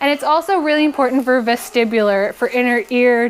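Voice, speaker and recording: With lively intonation, a woman speaks at a high pitch and a fairly quick pace. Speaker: chiropractor. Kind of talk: lecture. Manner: fast.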